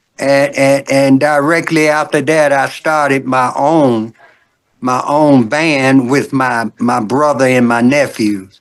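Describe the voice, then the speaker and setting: A man's fairly high voice at a very slow pace, with fairly even intonation and very even loudness. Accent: Southern US. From US South, Birmingham, Alabama. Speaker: gospel singer. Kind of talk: interview. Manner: halting, repeats words.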